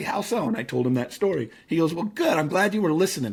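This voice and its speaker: Talking very fast with lively intonation, a man speaks in a General American accent. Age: 50s. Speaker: motivational speaker and author. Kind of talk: casual interview chat.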